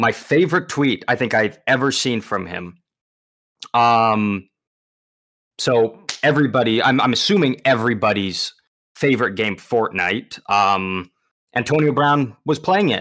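With long, frequent pauses, a man talks at a fairly slow pace and a medium pitch, his intonation lively. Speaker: podcast co-host. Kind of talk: casual sports banter podcast.

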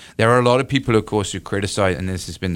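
Recorded very cleanly with a silent background, a man with a British accent speaks using ordinary pitch variation. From United Kingdom. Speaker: political science professor. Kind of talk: radio interview. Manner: halting, many fillers and repetitions.

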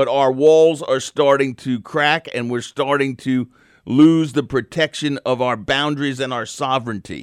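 A man's fairly high voice, fairly slow, with a dry, close sound and no echo. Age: 60s. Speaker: radio talk show host. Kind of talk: call-in talk radio. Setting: radio studio. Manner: animated.

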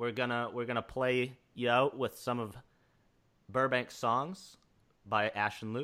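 Delivered at a fairly slow pace with long, frequent pauses, the speech has a bright, sharp tone and fairly even intonation on a very clean recording with a silent background. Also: man, medium pitch for a man. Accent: American. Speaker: podcast host. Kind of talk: casual chat.

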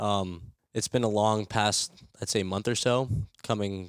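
In a very clean recording with a silent background, a man's fairly low voice comes through dry and close with no echo, his intonation fairly even. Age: 20s. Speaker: amateur golfer. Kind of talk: interview. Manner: halting.

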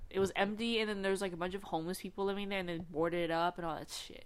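A woman at medium pitch, talking at a very fast pace. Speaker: podcast co-host. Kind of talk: casual chat. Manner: chatty, casual.

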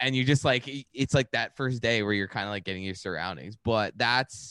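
On a very clean recording with a silent background and a dry, close sound free of echo, a man speaks in an ordinary speaking voice at medium pitch with ordinary pitch variation. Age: 30s. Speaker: stand-up comedian and author. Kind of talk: casual interview chat.

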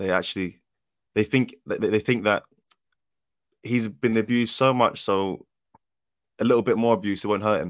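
Speaking in a London accent, a man uses fairly even intonation and long, frequent pauses. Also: medium pitch for a man, moderate pace. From South London. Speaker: footballer. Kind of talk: casual chat.

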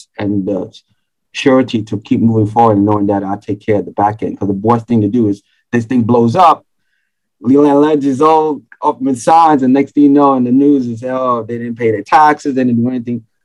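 Against a quiet background, a man speaks with a New York accent. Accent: New York City. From Bronx, New York. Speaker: entrepreneur, accountant. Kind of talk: casual chat.

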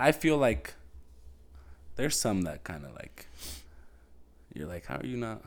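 A quiet man's voice, fairly low in pitch, with vocal fry, very wide pitch swings and long, frequent pauses. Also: moderate pace, big swings in loudness. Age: 20s. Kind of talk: casual chat.

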